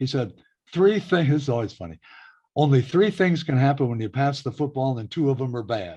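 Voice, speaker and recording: A man with a Midwestern US accent talks at a fairly quick pace with lively intonation and a fairly high pitch. His tone is dark and mellow, somewhat breathy, over a quiet background. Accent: US Midwest. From Iowa (Waterloo). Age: 70s. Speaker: radio broadcaster. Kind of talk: oral history interview.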